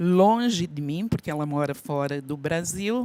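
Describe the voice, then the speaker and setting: The recording is very clean, with a silent background. A woman is the one talking. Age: 60s. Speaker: workshop participant. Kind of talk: personal testimony.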